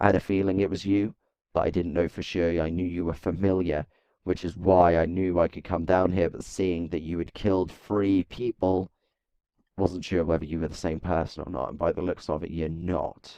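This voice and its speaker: In a put-on character voice, a man speaks at a moderate pace with a very deep, low pitch and a raspy sound. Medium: machinima. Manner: hesitant, stammering.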